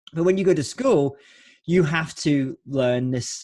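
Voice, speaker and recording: Against a quiet background, a man with a Scottish accent speaks with ordinary pitch variation. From Scotland, Lowlands. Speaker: podcast host, keynote speaker. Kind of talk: interview podcast.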